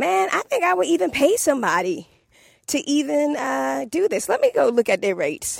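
On a very clean recording with a silent background, a woman with a DC accent speaks in an animated tone at a moderate pace. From Washington DC area. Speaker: podcast host. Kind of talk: casual solo monologue podcast. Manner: conversational, animated.

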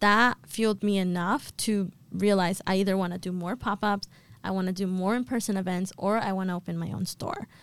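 A woman with an American accent speaks in a plain, everyday voice at a medium pitch and a fairly quick pace. The recording is very clean, with a silent background. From Boston. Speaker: entrepreneur, store founder. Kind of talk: podcast interview. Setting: studio.

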